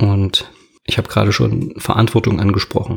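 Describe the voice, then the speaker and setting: Delivered at a moderate speed, the speech shows ordinary pitch variation. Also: man. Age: 20s. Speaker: podcast host and fitness trainer. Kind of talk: solo podcast monologue.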